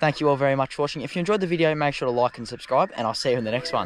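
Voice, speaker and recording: Lively intonation carries this man's very fast speech, recorded dry with no echo over light background noise. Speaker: fishing vlogger. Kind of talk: casual vlog chat. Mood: happy, excited after catch. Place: waterside. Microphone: phone near.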